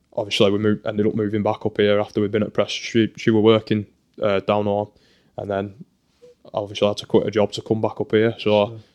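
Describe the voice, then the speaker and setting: A man's fairly low voice with a Lancashire accent, fairly quick yet with long, frequent pauses, monotone and flat, dry and close with no echo. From northern England, Burnley. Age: 20s. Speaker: professional footballer. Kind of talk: casual chat. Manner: halting.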